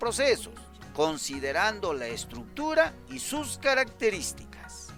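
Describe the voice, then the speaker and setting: The speech moves at a very slow pace. Music plays in the background. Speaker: radio teacher / educational broadcaster addressing secondary students. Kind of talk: educational radio lesson.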